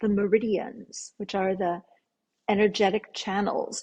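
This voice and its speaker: A woman talks at a fairly slow pace with a medium pitch. Her voice is somewhat breathy, and her intonation is monotone and flat. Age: 60s. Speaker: yoga therapist. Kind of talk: interview.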